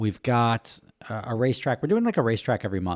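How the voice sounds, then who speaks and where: Recorded very cleanly against a silent background, a man with a fairly low pitch talks at a fairly quick pace, the sound dry and close with no echo. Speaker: car podcast host. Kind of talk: casual chat. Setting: home lounge. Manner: quieter than co-host.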